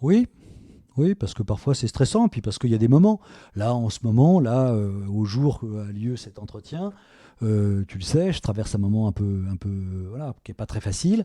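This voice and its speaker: On a very clean recording with a silent background, a man with a dark, mellow tone and medium pitch speaks at a moderate pace with ordinary pitch variation and big swings in loudness, in a dry, close sound with no echo. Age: 60s. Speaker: self-employed worker near retirement, father of the podcaster. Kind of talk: interview. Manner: halting, many hesitations.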